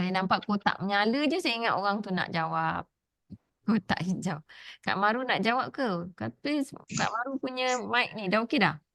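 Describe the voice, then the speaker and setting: At a moderate pace, a woman with a medium pitch speaks with lively intonation in a dry, close sound with no echo. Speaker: Quran teacher. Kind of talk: online Quran class.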